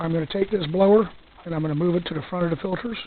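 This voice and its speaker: Noticeable background noise surrounds the recording. A soft-spoken man talks at a high pitch. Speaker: hobbyist gasifier builder. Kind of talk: casual talk to camera, walkaround tutorial.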